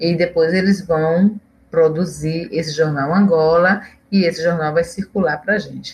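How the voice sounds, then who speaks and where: A woman speaks at a moderate pace with a fairly low pitch. Her voice is somewhat breathy, and her intonation is fairly even. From Pernambuco, Brazil (Olinda). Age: 50s. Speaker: historian and professor. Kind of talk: interview.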